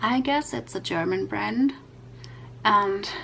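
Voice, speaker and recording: Over noticeable background noise, a woman speaks at a medium pitch with very wide swings up and down. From Europe. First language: not English. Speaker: YouTube coloring creator. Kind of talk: tutorial. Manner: halting, many fillers.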